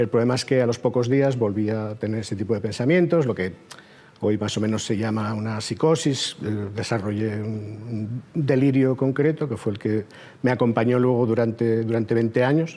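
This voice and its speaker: A man talks at a medium pitch and a moderate pace, his pitch varying in an ordinary way. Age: 50s. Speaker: mental health survivor interviewee. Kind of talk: personal testimony. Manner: halting, many repetitions.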